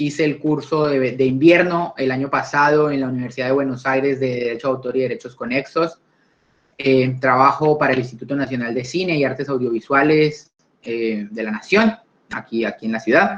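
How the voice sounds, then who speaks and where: A man of medium pitch at a moderate pace, with ordinary pitch variation. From Colombia. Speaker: lawyer, intellectual property lecturer. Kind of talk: online talk / conversational lecture. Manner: hesitant, frequent fillers and repetitions.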